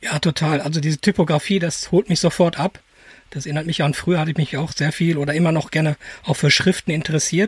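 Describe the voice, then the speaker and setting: Dry and close with no echo, a man's fairly high voice moves at a very fast pace with fairly even intonation. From Germany, edge of the Ruhr area. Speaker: podcast co-host, photographer. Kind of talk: casual chat.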